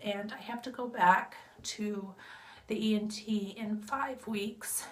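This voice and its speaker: There's clear room echo around this woman's voice. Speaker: vlogger sharing health update. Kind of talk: casual vlog update. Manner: conversational, with fillers.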